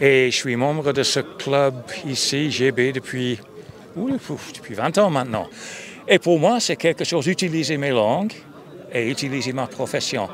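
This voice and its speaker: There is noticeable background noise as a man with a non-native accent speaks at a fairly slow pace, leaving long, frequent pauses. His pitch is fairly high and varies in an ordinary way. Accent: foreign accent in French. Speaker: retired sports journalist. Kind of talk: interview.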